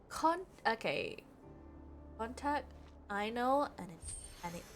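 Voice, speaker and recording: A woman speaks very slowly while music plays in the background. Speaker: video game streamer. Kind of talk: live gameplay stream chat. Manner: casual, rambling with repetitions.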